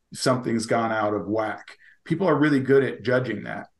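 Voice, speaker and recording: A man's unremarkable speaking voice, with ordinary pitch variation, medium pitch and a moderate pace. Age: 60s. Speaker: crypto company executive. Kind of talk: interview.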